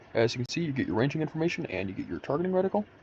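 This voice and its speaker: A man with vocal fry talks at a very fast pace, his pitch swinging very widely. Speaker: gaming tutorial creator. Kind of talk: tutorial. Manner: casual.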